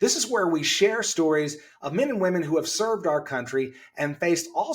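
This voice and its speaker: A man talks at a moderate pace in a normal speaking voice. His pitch is fairly high and his intonation lively. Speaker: podcast host. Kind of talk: podcast interview host.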